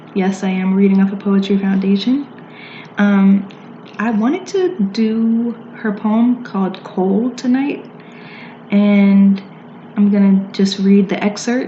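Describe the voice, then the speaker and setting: A woman with a medium pitch speaks very slowly in fairly even intonation, with long, frequent pauses. Background noise is noticeable. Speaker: poet. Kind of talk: casual talk to camera.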